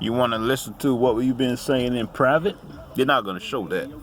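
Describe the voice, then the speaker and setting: A man's relaxed, medium-pitched voice over noticeable background noise. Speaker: vlogger. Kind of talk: casual monologue.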